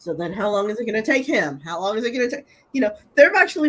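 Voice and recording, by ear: Intonation rises and falls in a lively way. The text is read aloud in a natural voice.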